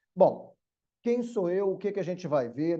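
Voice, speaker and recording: With a Rio de Janeiro accent, a man talks in a dark, mellow tone with ordinary pitch variation. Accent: carioca (Rio de Janeiro). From Brazil, Rio de Janeiro city. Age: middle-aged. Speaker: law professor. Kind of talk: online lecture. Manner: casual, conversational.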